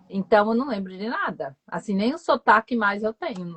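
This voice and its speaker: At a moderate pace, a woman speaks in a normal speaking voice at a fairly high pitch. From Northeast Brazil, João Pessoa, Paraíba. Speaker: foreign language teacher. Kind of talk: casual chat. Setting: live stream video call.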